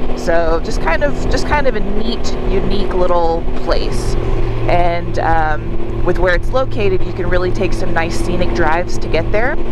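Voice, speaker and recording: A woman's dry, echo-free voice comes through amid loud background noise. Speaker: motorcycle vlogger. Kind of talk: casual vlog chat. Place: motorbike. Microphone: helmet.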